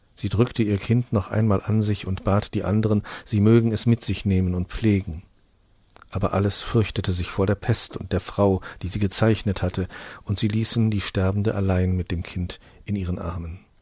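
A man's solemn, sad delivery, dark and mellow in tone, somewhat breathy, fairly low in pitch and monotone, with flat intonation. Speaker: audiobook narrator. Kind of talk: dramatic fairy-tale narration, reading aloud. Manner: solemn, hushed and tender, slowing into a sad, gentle tone for the plague scene; storytelling, directly addressing listeners.

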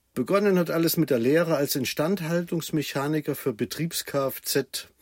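The recording is very clean, its background silent. A man speaks fairly slowly. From Germany, Thuringia. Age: 60s. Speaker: traffic manager. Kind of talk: interview.

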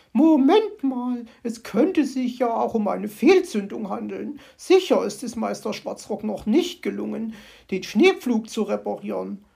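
A woman puts on a character voice pitched fairly high. It sounds shaky and moves at a moderate pace. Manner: trembling, uncertain.

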